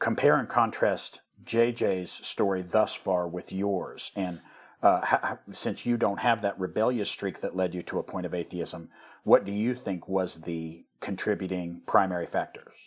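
Speaking at a fairly slow pace with fairly even intonation, a man with an American accent has an unremarkable speaking voice at a fairly low pitch, in a very clean recording with a silent background. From US Midwest, rural western Missouri. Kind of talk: casual chat.

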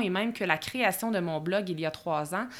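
In a Quebec accent, the speaker talks at a fairly quick pace with ordinary pitch variation, in a very clean recording with a silent background. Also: woman. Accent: Québécois French. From Quebec, Bois-Francs region. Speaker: podcast host, productivity coach. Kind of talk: solo podcast monologue. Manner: casual with filler words.

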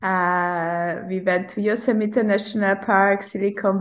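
A woman speaks with a Hungarian accent and fairly even intonation. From Hungary, Budapest. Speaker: ultrarunner. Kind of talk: interview.

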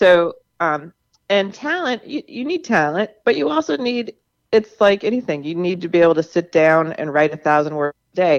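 Over a quiet background, a woman with an American accent talks in a plain, everyday voice, fairly low in pitch with lively intonation. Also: moderate pace. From US South, Charleston, South Carolina. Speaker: novelist. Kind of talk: radio interview.

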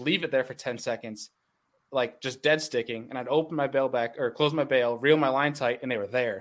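The speaker has a plain, everyday voice with ordinary pitch variation. The pace is moderate over a quiet background. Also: man. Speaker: bass angler and content creator. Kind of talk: casual chat.

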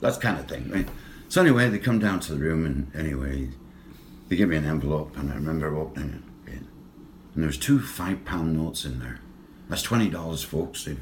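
A man with a Lancashire accent and vocal fry, very deep and low in pitch, fairly quick in pace with lively intonation and long, frequent pauses. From northern England. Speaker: former boxer and hockey coach. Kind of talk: casual interview storytelling.

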